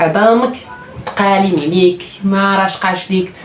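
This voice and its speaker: The speaker has a Moroccan accent. Noticeable background noise is present. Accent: Moroccan Darija. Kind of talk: casual self-improvement talk to camera.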